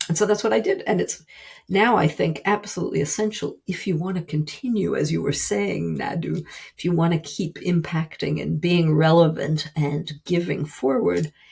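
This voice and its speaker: Lively intonation and vocal fry mark this woman's speech, delivered at a moderate pace. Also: fairly low pitch for a woman. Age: 60s. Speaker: writer and business consultant. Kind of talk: interview.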